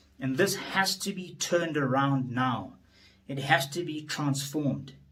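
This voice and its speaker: There is audible room echo around a man speaking. He talks at a fairly slow pace with ordinary pitch variation. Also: fairly high pitch for a man. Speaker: politician. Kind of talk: speech. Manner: formal.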